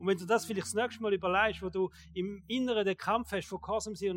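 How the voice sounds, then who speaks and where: A man talks at a high pitch and a fairly quick pace. His intonation stays fairly even. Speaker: pastor. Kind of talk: sermon. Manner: casual.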